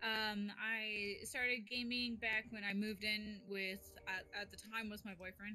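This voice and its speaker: A woman speaks at a fairly slow pace in a medium pitch with monotone, flat intonation. Her loudness swings widely over noticeable background noise. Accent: American. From US West Coast. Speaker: streamer and content creator. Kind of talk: casual chat.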